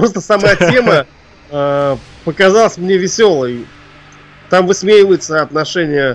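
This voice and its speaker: A man's high-pitched voice with lively intonation, a fairly slow pace and long, frequent pauses, over noticeable background noise. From Russia, Ufa (Bashkortostan). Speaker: composer and arranger. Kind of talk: interview. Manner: hesitant, many filler sounds.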